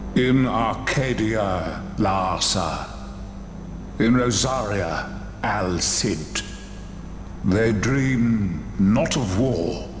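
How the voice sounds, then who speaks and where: A man in a put-on character voice speaks very slowly at a fairly low pitch, with a solemn tone, long, frequent pauses and very even loudness. Loud background noise and a slight echo surround him. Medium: video game. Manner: slow, solemn, cryptic.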